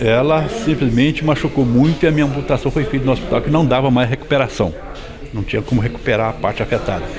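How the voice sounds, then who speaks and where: A man talks very fast amid noticeable background noise and audible room echo. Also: medium pitch for a man, ordinary pitch variation. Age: 60s. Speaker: farmer, accident survivor. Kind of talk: news interview.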